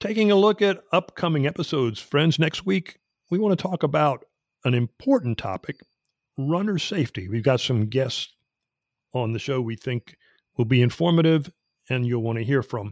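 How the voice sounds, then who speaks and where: Over a silent background in a very clean recording, a man with a fairly high pitch speaks at a moderate pace with very wide pitch swings and long, frequent pauses, the sound dry and close with no echo. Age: 70s. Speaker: podcast host. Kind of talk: casual chat.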